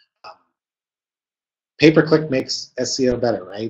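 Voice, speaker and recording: A man speaks with ordinary pitch variation and a somewhat breathy quality. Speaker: marketing consultant presenter. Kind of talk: webinar presentation. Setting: online webinar. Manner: fast.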